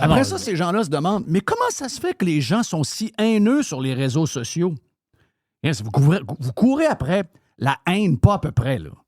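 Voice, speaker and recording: A high-voiced man in a Quebec accent, fairly slow, with very wide pitch swings and a dry, close sound with no echo. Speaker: radio show host. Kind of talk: casual talk-radio commentary.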